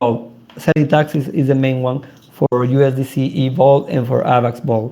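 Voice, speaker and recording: Speaking with a Spanish accent, a man has a dark, mellow tone at medium pitch. His pace is moderate and his intonation fairly even. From South America. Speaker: crypto project founder. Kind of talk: interview. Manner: halting.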